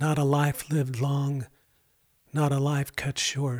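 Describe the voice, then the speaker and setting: A man's fairly high, somewhat breathy voice with a warm tone, at a fairly slow pace, in a very clean recording with a silent background. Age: 60s. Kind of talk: devotional storytelling monologue. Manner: earnest, warm.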